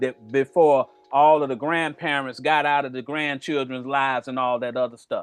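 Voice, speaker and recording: With music in the background, a man speaks at a moderate pace in a fairly high, monotone voice with flat intonation. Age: 60s. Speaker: religious group elder. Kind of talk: religious discussion.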